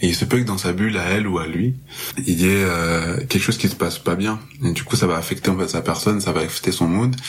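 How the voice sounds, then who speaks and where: Noticeable background noise sits behind a man talking very fast. His pitch is very deep and low, with ordinary variation. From Marseille, southern France. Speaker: music festival promoter. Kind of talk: casual podcast interview.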